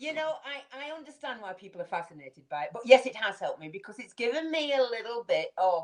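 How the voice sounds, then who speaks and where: A woman speaks with a Manchester accent at a moderate pace. Her pitch swings very widely. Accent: northern English (Manchester area). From northern England, Manchester area. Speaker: community leader. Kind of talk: interview. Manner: reflective, conversational.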